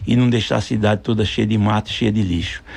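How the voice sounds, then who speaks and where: A man talks with a fairly low pitch in an ordinary speaking voice. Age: 60s. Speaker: mayoral candidate. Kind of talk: radio interview.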